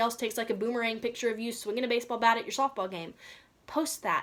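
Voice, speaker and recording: A woman with a Southern US accent, fairly high in pitch. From US South. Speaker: social media coach for real estate agents. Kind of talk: online course lesson. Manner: casual, conversational with many fillers.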